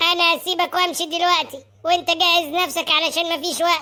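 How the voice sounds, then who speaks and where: A woman uses a cartoonish character voice with extremely high pitch and monotone, flat intonation. Her pace is moderate and her loudness very even. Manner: commanding.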